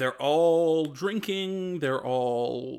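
This is a man with an ordinary speaking voice, a fairly high pitch, and ordinary pitch variation. The recording is very clean, with a silent background. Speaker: game master of tabletop roleplaying podcast. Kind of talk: tabletop roleplaying narration.

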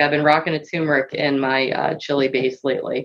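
Fairly quick speech in a woman's very deep, low voice. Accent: Philadelphia. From US Northeast, Philadelphia. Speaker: guest, AV industry. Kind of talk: casual chat. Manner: fast.

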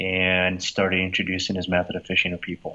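This man talks with a Brazilian accent. His pitch is fairly low. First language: Portuguese. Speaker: company founder. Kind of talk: interview. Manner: uses many filler words.

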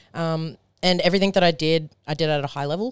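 A woman with an Australian accent talks at a moderate pace, her pitch very deep and low and her intonation fairly even. The sound is dry and close with no echo, on a very clean recording with a silent background. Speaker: powerlifter. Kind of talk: casual chat.

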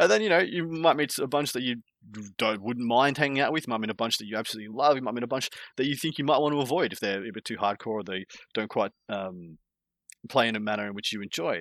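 Here a man talks at a very fast pace in an Australian accent. The recording is very clean, with a silent background. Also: medium pitch for a man, ordinary pitch variation. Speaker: tabletop wargaming content creator. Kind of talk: casual podcast chat.

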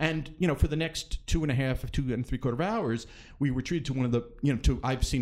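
A man's ordinary speaking voice at medium pitch with ordinary pitch variation. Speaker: theater critic. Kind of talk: casual chat. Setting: studio.

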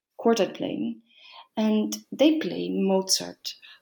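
In a very clean recording with a silent background, a woman speaks at a fairly slow pace with a Dutch accent. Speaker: organist and harpsichordist. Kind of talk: casual interview. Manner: halting.

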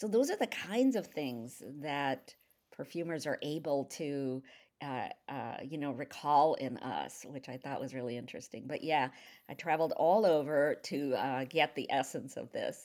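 In a very clean recording with a silent background, a woman speaks at a moderate pace with a very deep, low pitch and ordinary pitch variation. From India. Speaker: novelist. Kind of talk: casual chat. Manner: hesitant with many fillers.

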